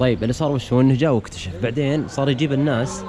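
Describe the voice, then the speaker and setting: A man's very fast speech with ordinary pitch variation over noticeable background noise. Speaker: vlogger. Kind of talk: travel vlog.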